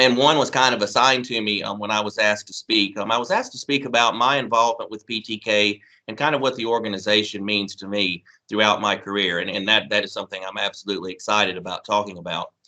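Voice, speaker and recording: A man's fairly low-pitched voice with a bright, sharp tone, in a very clean recording with a silent background. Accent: Southern US. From Mississippi. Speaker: college administrator. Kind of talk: ceremony speech. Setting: recorded video address.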